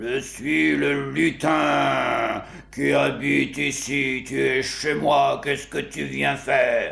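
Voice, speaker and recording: A man talks in a put-on character voice at a very slow pace. Light background noise sits behind him. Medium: read story. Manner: bossy, sly.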